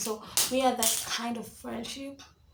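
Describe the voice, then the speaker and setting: Noticeable background noise and audible room echo surround the recording. A woman talks at a fairly high pitch with fairly even intonation. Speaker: YouTuber. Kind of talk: story time. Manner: whispering; casual, rambling.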